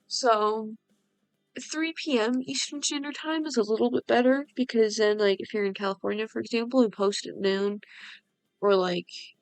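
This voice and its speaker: Over music in the background, a soft-spoken woman with a fairly high voice talks at a moderate pace in a dry, close sound with no echo. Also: ordinary pitch variation. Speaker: gaming youtuber. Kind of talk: casual gameplay commentary. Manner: soft-spoken, talking quieter. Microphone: voice a bit quiet.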